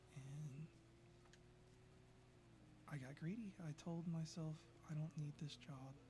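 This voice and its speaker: Soft-spoken and fairly high-pitched, a man talks at a very slow pace with fairly even intonation and long, frequent pauses. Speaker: former software developer. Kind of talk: casual talk to camera.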